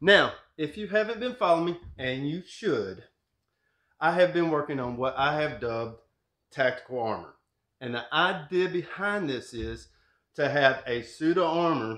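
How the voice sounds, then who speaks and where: A man speaks with long, frequent pauses. The background is quiet, and there is audible room echo. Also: moderate pace. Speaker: maker channel host. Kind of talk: tutorial. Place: workshop.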